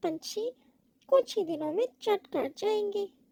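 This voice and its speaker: A cartoonish character voice squeaks at an extremely high pitch. The recording is very clean, with a silent background. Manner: self-satisfied, muttering to himself.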